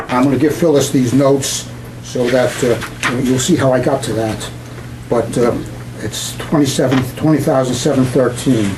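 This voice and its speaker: With a Brooklyn accent, a man speaks at a medium pitch and moderate pace with fairly even intonation, amid noticeable background noise and audible room echo. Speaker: resident speaking at public comment. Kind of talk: public comment at board meeting. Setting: board meeting room with audience. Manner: halting, many fillers.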